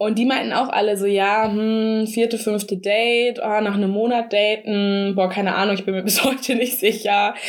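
Amid noticeable background noise, a woman with a fairly high pitch talks in a monotone, flat intonation at a moderate pace, with very even loudness and hardly any pauses. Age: 30s. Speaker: podcast co-host. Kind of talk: casual chat.

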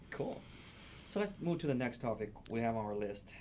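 This man speaks at a medium pitch with a Chinese accent. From China. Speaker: podcast host. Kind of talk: interview.

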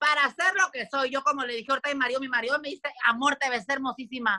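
In a raised, projected voice, a woman speaks with a high pitch and a bright, sharp, animated tone, the sound dry and close with no echo. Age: 30s. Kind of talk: casual chat.

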